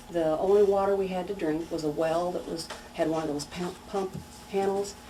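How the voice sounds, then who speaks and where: A woman with a fairly low voice speaks at a moderate pace in a Missouri accent, her intonation fairly even. Noticeable background noise and audible room echo fill the recording. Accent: Midwestern American, Missouri. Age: 60s. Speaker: local resident sharing memories. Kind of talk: oral history interview.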